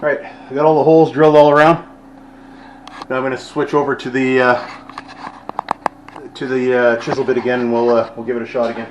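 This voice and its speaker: A man talks at a very fast pace with fairly even intonation, big swings in loudness and long, frequent pauses. Noticeable background noise and audible room echo are present. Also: medium pitch for a man. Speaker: vlogger doing handyman work. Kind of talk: casual vlog narration while working. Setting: church building, indoor work site.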